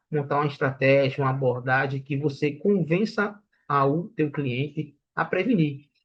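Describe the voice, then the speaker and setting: It is a normal speaking voice with ordinary pitch variation. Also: man. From Brazilian Northeast. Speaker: sales trainer. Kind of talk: lecture. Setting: online livestream.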